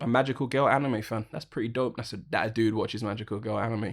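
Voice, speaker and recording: This man speaks with a British accent. His pace is very fast. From United Kingdom. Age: 20s. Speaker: sound engineer and podcast host. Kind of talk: casual chat.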